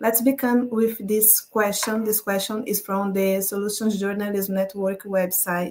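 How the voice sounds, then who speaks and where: With a Portuguese accent, a woman speaks at a fairly slow pace and medium pitch. Her intonation is monotone and flat, with hardly any pauses. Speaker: climate journalist. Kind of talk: presentation.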